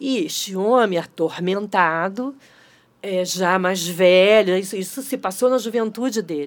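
A woman with a normal speaking voice at medium pitch, a fairly slow pace, and ordinary pitch variation, in a very clean recording with a silent background. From Brazil, Niterói. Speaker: actress and theatre director. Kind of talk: casual interview chat.

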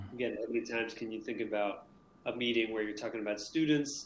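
Speaking with an American accent, a man keeps his intonation fairly even. He has a normal speaking voice. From Maine, US. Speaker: teacher. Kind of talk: casual interview.

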